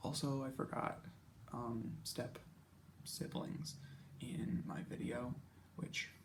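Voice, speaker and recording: Whispering with vocal fry, a man speaks at a very slow pace, leaving long, frequent pauses. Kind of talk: casual talk about project plans. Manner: whispered; rambling.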